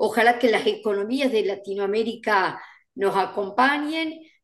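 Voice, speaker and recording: Speaking at a fairly slow pace with a fairly high pitch and lively intonation, a woman with an Argentine accent is heard against a quiet background. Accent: Argentine Spanish (voseo). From Argentina. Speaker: events industry educator and co-host; events industry educator, co-host. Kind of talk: casual chat. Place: home room. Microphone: video call.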